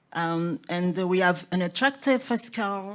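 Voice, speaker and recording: A woman at a medium pitch, speaking at a very slow pace. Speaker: business delegate. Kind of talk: conference presentation. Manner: halting, many fillers.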